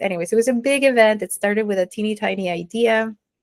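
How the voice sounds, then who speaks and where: A woman speaks in a Spanish accent at a medium pitch and a moderate pace. The recording is very clean, with a silent background. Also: dry, close sound with no echo. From Mexico. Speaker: entrepreneur and nonprofit founder. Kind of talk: interview.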